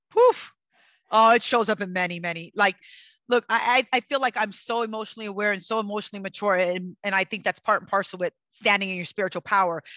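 Loud and passionate, a woman talks at a very fast pace in a medium-pitched voice with a bright, sharp tone and fairly even intonation, recorded dry and close with no echo against a quiet background. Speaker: psychic and energy healer. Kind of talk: casual interview conversation. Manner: passionate, fiery.

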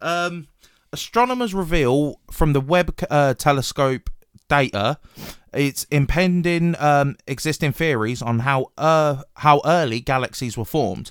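A man with a British accent speaks fairly slowly at a fairly high pitch with lively intonation, in a dry, close sound with no echo on a very clean recording with a silent background. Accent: British, regional. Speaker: podcast host. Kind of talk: casual banter. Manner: casual, swears often.

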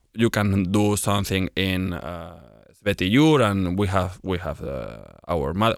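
A man with a Spanish accent and a fairly low pitch, on a very clean recording with a silent background. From Spain. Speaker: Spanish teacher and youth football coach. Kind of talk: casual interview.

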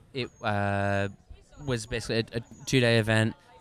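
Amid noticeable background noise, a man with an American accent talks at medium pitch and a fairly slow pace. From Texas, US (Dallas). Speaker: brewery owner. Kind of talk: casual chat.

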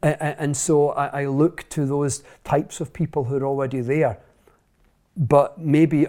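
A man with a Scottish accent speaks in a dark, mellow tone and fairly even intonation. The recording is very clean, with a silent background. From central Scotland. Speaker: author and speaker. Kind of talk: interview conversation.

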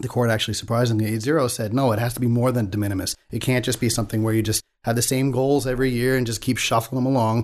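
With an American accent, a man talks at a very fast pace with hardly any pauses, his medium pitch held in a monotone, flat intonation over a quiet background. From Staten Island, New York City. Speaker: congressional candidate. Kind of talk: interview. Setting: studio.

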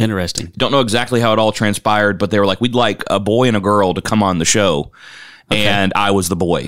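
A man speaking fairly low in pitch with an American accent varies his pitch in an ordinary way, recorded very cleanly over a silent background. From Kentucky. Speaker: minister. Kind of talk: casual chat.

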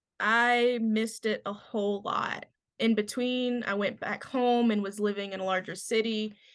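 A woman with a Kentucky accent, fairly high in pitch, at a moderate pace with monotone, flat intonation, against a quiet background. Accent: US Southern (Kentucky). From Western Kentucky. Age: 20s. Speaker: fly fishing guide. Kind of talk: casual chat.

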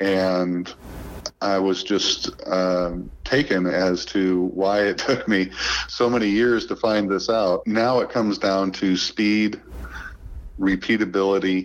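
With an American accent, a man speaks at a very slow pace with fairly even intonation and very even loudness over noticeable background noise. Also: fairly low pitch for a man. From central Illinois. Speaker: golf course equipment manager. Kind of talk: interview.

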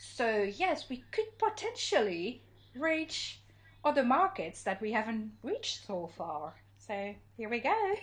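A woman speaks very slowly in a high voice. Her pitch swings very widely. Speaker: podcast co-host. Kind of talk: casual chat. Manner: hesitant, with filler words.

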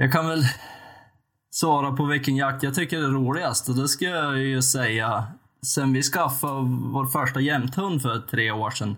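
An unremarkable speaking voice from a man, fairly high in pitch, with ordinary pitch variation, a moderate pace, and a very clean recording over a silent background. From Sweden, western Jämtland. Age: 30s. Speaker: podcast co-host, hunter. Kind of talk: casual chat.

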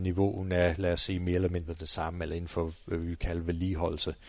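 Against a quiet background, a man speaks in a very deep, low voice with monotone, flat intonation. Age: 40s. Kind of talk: interview. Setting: on location at training centre.

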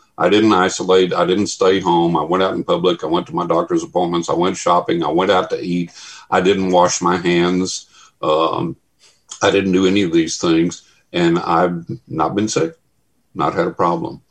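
Monotone and flat, a man speaks in a very deep, low pitch at a moderate pace. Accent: Texan. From West Texas. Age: 60s. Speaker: paranormal researcher. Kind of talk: casual chat.

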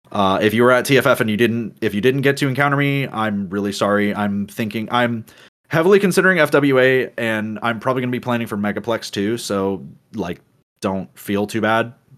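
With ordinary pitch variation and a medium pitch, a man talks fairly quickly in an ordinary speaking voice. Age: 20s. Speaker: podcast co-host. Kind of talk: casual chat.

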